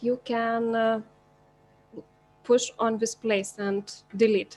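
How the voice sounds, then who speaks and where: With music in the background, a woman with a non-native accent speaks at a very slow pace and fairly high pitch in a monotone, flat intonation. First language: not English. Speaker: teacher. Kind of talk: tutorial. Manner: halting.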